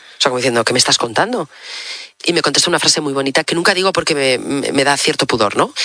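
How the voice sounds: A woman's extremely low voice with a slightly husky edge, a bright, sharp tone and lively intonation.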